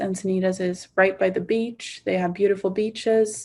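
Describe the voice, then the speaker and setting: Against a quiet background, a woman with a Swedish accent speaks at a medium pitch in a dark, mellow tone with monotone, flat intonation. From Sweden, Stockholm. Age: 20s. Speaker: university student. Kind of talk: casual testimonial.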